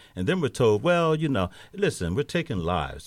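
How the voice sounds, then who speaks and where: A man with vocal fry talks at a fairly quick pace with very wide pitch swings on a very clean recording with a silent background. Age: 60s. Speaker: pastor and community nonprofit manager. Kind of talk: panel discussion on radio. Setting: radio studio.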